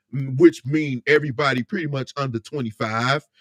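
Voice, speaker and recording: Dry and close with no echo, a man with an American accent talks in a normal speaking voice. His pitch is medium with ordinary variation. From Indiana, US Midwest. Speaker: live streamer. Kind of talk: casual live stream chat.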